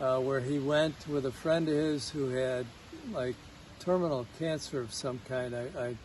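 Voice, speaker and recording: Somewhat breathy, a man speaks with a Chicago accent at a fairly slow pace. His intonation stays fairly even. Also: medium pitch for a man. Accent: Chicago American English. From US Midwest, Chicago. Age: 60s. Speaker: patient at a healing retreat. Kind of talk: testimony. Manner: halting, many fillers.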